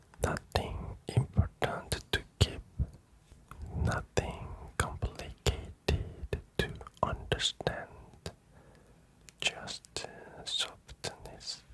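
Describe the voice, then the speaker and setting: Someone whispers at a very slow pace. Noticeable noise sits in the background. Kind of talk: whispered ASMR sleep talk to camera. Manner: whispered, slow, soft-spoken.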